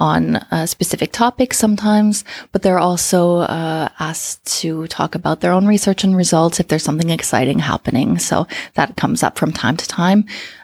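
An ordinary speaking voice with a Canadian accent goes at a moderate pace with ordinary pitch variation, in a dry, close sound with no echo. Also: woman. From Canada. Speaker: communication coach. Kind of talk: interview.

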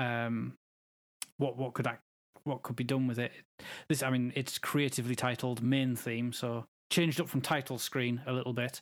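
This man speaks at a medium pitch with monotone, flat intonation and long, frequent pauses. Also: moderate pace, very clean recording, silent background. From northern England. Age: 30s. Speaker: podcast guest. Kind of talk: casual chat.

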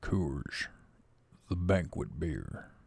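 A man speaks in a put-on character voice. His pitch is very deep and low. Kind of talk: announcer.

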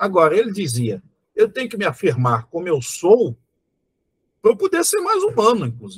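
Moderately paced speech from a man, broken by long, frequent pauses. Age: 40s. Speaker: historian and professor. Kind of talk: interview conversation. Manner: halting, many fillers.

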